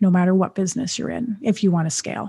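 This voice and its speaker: Recorded very cleanly with a silent background, a woman's somewhat breathy voice has a dark, mellow tone and ordinary pitch variation. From Canada. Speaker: entrepreneur. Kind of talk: interview.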